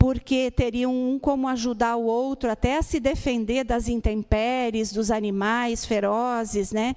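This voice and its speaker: Over noticeable background noise, a woman with a high pitch speaks at a fairly slow pace in a monotone, flat intonation. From Brazil, Rio Grande do Sul. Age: 60s. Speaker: spiritist lecturer. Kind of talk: lecture. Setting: spiritist center with audience.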